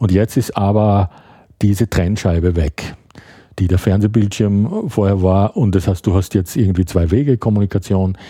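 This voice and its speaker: The voice has a dark, mellow tone at a moderate pace. Its loudness stays very even and its intonation fairly even. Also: man, fairly low pitch for a man. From Austria, Graz (Styria). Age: 50s. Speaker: writer. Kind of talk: casual chat. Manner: halting.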